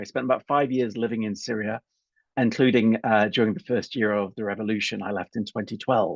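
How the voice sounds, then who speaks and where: Speaking at a fairly quick pace, a man with a British accent talks at a medium pitch. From UK. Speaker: political scientist. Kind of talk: lecture. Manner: hesitant, many fillers.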